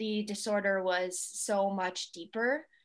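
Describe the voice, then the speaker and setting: A woman with a Northeastern US accent speaks at a fairly high pitch with fairly even intonation. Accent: US Northeast American. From central New York. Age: 20s. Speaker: holistic health coach. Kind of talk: interview conversation.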